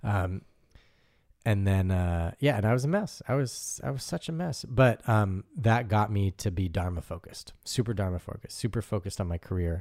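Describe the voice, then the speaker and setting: A man with a fairly low pitch speaks at a moderate pace with lively intonation. The recording is very clean, with a silent background. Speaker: DJ and music producer. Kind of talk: casual chat.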